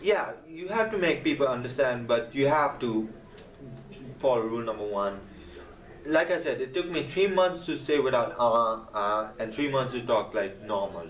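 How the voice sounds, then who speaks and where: Amid noticeable background noise and audible room echo, a man with a non-native accent speaks at a moderate pace with lively intonation. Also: medium pitch for a man. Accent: non-native accent, improved. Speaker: gaming video creator. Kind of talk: casual vlog advice talk. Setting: camera vlog.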